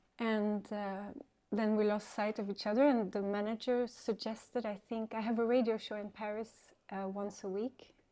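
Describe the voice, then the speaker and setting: In a French accent, a woman speaks at a moderate pace with a dark, mellow tone. Her intonation is monotone and flat, in a very clean recording over a silent background. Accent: French-sounding English. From Sweden, some childhood in France. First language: Swedish. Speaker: DJ and musician. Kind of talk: casual interview. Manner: hesitant, many fillers.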